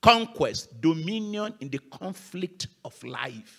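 Against a quiet background, a man projects a raised voice with a bright, sharp tone and very wide pitch swings. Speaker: guest pastor. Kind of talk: sermon. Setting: church. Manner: animated. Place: church. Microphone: handheld.

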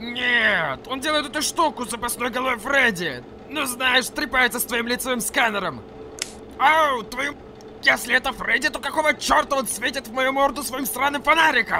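A man shouts in a put-on character voice at an extremely high pitch. Clear background noise can be heard. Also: moderate pace. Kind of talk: comic overacting. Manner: angry, shouting, ranting.

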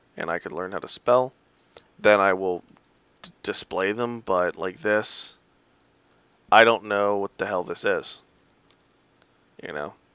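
A man's mumbling, fairly low voice with a bright, sharp tone, fairly even intonation, a fairly slow pace and long, frequent pauses, in a dry, close sound with no echo. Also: big swings in loudness. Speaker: gamer showing a game server. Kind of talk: game walkthrough commentary.

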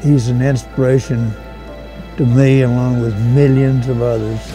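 Clear music plays in the background as the voice moves at a fairly slow pace with fairly even intonation. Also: man. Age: 80s+. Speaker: war veteran. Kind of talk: interview answer. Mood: reflective, moved. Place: hall. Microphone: lapel.

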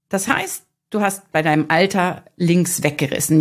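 Against a quiet background, a woman speaks in an animated tone at a fairly slow pace. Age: 40s. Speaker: digital detox speaker and podcaster; digital detox coach, video podcaster. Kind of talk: podcast monologue. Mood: warm, cheerful, smiling. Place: studio. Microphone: studio mic.

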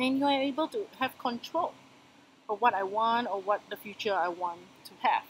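In a plain, everyday voice, a woman talks at a moderate pace with fairly high pitch, lively intonation and big swings in loudness. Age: 30s. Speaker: financial consultant. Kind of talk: interview answer.

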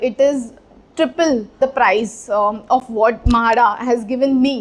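A woman with a normal speaking voice talks at a fairly high pitch, her intonation fairly even. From India, Mumbai. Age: 20s. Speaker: housing lottery winner. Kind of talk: testimonial.

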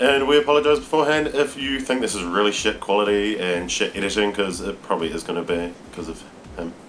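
Over light background noise, a man with a fairly low voice speaks very fast with lively intonation. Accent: New Zealand. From New Zealand. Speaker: vlogger. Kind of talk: casual vlog talk to camera. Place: home room. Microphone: webcam.

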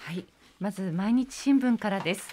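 A woman talks with lively intonation. Light background noise can be heard. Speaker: radio announcer. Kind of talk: radio co-host chat and reading posts. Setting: radio studio. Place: studio.

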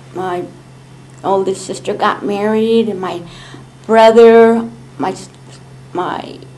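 A woman with an American accent talks with ordinary pitch variation against light background noise. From California, US. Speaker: community elder sharing family history. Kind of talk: oral history interview. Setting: public library meeting. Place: meeting room. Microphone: camera far.

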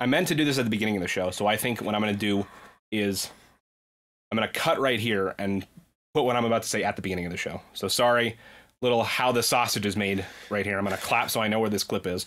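A man talks at a very fast pace in a fairly low voice. His pitch varies in an ordinary way against a quiet background. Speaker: podcast host. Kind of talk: casual chat. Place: home room. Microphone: studio mic.

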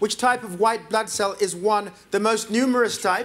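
This man has a high pitch. His intonation stays flat and monotone. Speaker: quiz show host. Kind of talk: quiz hosting, reading questions. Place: studio. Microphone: lapel.

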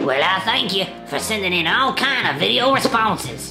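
A cartoonish character voice that sounds female speaks at a moderate pace over loud music in the background. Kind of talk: comedic tutorial to camera. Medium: puppet.

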